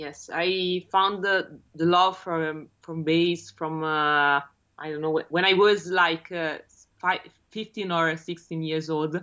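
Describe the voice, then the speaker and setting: With an Italian accent, a woman speaks very slowly in a monotone, flat intonation at a fairly low pitch. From Italy, Rome. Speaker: bassist. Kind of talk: interview. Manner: halting, many fillers.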